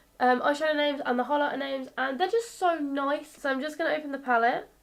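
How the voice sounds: A woman speaks fast at a high pitch, her intonation fairly even and her voice marked by vocal fry.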